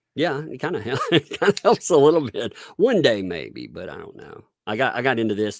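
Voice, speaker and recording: With a Southern US accent, a man speaks at a fairly quick pace, his loudness swinging widely, in a dry, close sound with no echo. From Tennessee. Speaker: online commentator. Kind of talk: casual chat.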